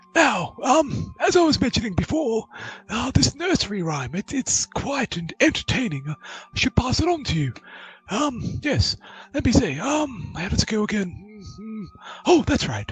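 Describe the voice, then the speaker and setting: A man puts on a character voice, pitched high with very wide swings, at a moderate pace. Long, frequent pauses break it up while music plays in the background. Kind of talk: fussy genteel old-man voice. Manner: rambling, absent-minded, self-affirming "yes, yes".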